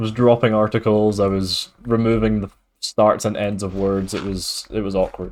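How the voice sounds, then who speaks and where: A man with a Scottish accent speaks in a fairly low pitch with monotone, flat intonation. His moderate pace comes through in a very clean recording with a silent background. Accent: mild Scottish. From Scotland. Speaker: streamer. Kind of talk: casual gaming livestream chat.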